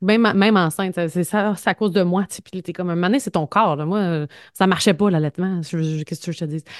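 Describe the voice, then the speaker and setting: In a Quebec accent, a woman with a fairly low pitch talks at a moderate pace with ordinary pitch variation, in a dry, close sound with no echo and a quiet background. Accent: Québécois French. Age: 30s. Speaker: podcast co-host, journalist. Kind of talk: casual chat.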